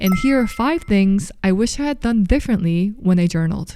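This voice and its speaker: A woman with a Korean accent, a dark, mellow tone and lively intonation, at a moderate pace. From South Korea, Seoul. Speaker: lifestyle YouTuber. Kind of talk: scripted narration.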